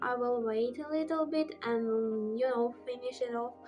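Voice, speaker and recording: A woman's high voice with music in the background. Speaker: book reviewer. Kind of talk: casual talk to camera.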